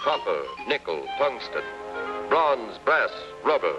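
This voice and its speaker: Background music plays throughout. Over it, a man talks fairly slowly. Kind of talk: documentary newsreel narration. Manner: rhythmic, declamatory.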